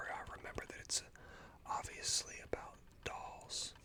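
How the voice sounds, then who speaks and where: A man is whispering. His pace is fairly slow. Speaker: ASMR streamer. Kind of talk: ASMR live stream talk. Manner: whispered.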